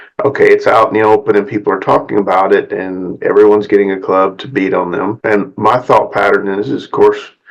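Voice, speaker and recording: A man with a Southern US accent talks at a fairly quick pace with hardly any pauses. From US South. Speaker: psychotherapist. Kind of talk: talking-head video monologue.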